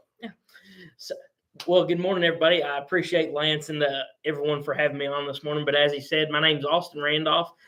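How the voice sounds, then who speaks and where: A man talks at a very fast pace. His fairly high pitch stays in a monotone, flat intonation. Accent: Southern US. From Western Kentucky. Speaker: agricultural sales intern. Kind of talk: live stream interview. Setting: live video stream.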